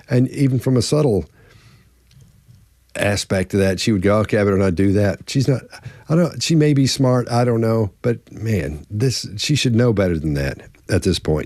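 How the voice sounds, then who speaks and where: A man speaks at medium pitch with lively intonation. He leaves long, frequent pauses. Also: very even loudness. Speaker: body language expert. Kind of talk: panel analysis discussion. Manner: fast; halting, many repeated words and fillers.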